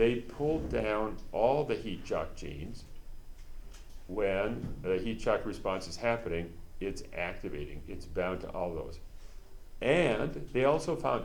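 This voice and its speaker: Room echo is audible here. A man speaks at a fairly slow pace. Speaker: university professor. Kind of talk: lecture.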